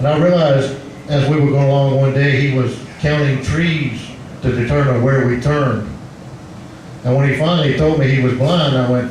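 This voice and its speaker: A man's fairly high voice at a fairly quick pace, with very even loudness, fairly even intonation, audible room echo and noticeable background noise. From Louisiana swamps, Cajun country. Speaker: stand-up comedian. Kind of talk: stand-up. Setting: bar stage with audience. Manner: stuttering. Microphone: microphone cutting in and out.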